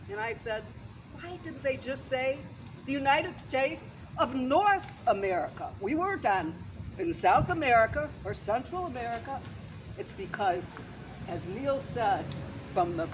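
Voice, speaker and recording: The speaker is loud, with very wide pitch swings and long, frequent pauses. Noticeable background noise and audible room echo fill the recording. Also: woman. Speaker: memorial speaker, educator. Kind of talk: eulogy speech. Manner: projecting loudly; halting.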